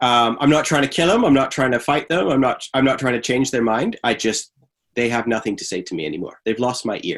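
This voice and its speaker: With a Canadian accent and a normal speaking voice, a man talks at a fairly quick pace and medium pitch, his intonation lively. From Canada. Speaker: theologian and podcaster. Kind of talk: podcast interview.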